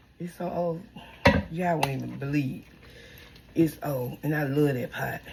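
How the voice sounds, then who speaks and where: A woman's very deep, low voice at a moderate pace, with long, frequent pauses and noticeable background noise. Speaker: home cook vlogger. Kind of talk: casual cooking vlog. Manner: animated.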